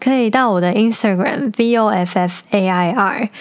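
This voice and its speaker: At a moderate pace, a woman uses a normal speaking voice of medium pitch with lively intonation. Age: 20s. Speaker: podcast host. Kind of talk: casual monologue; reading aloud.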